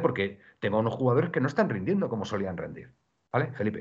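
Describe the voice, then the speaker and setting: The pitch swings very widely. The voice is somewhat breathy. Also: man. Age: 50s. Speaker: football podcast host. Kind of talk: casual chat. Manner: halting, many repetitions.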